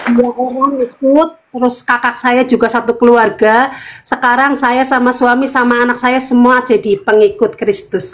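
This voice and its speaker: A woman with a high pitch talks at a moderate pace, with hardly any pauses, ordinary pitch variation and very even loudness. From Cilacap, Central Java, Indonesia. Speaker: convert telling her story. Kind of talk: testimony on a live video call. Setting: video call. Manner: halting, many fillers.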